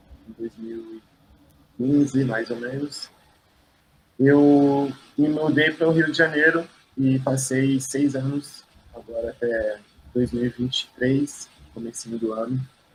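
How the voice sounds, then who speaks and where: Fairly slow and fairly even in intonation, this man speaks with long, frequent pauses. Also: medium pitch for a man. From Brazil, São Paulo region (São Bernardo do Campo). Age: 30s. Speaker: visual artist. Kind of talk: interview.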